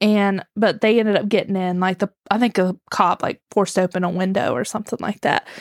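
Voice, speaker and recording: Animated American-accented woman at a medium pitch, fairly quick and with hardly any pauses, in a dry, close sound with no echo on a very clean recording with a silent background. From West Virginia. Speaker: podcast host telling true crime story. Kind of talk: casual storytelling chat. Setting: recording on a back porch, outdoors. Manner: animated, laughs often.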